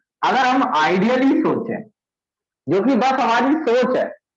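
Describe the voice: A man speaks at an extremely high pitch with lively intonation and a fairly slow pace. Strong room echo surrounds his voice.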